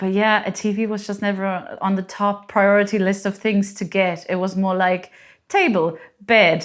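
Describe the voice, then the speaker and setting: A woman with a German accent speaks at a moderate pace in a medium pitch. The recording is very clean, with a silent background. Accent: German accent, noticeable. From Germany. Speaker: homeowner. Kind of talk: casual chat. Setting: at home in her living room.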